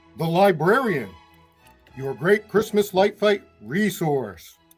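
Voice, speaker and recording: Over music in the background, a man with a high pitch talks at a very slow pace. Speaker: interview host of a Christmas light show fan channel. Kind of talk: casual talk to camera. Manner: upbeat, friendly.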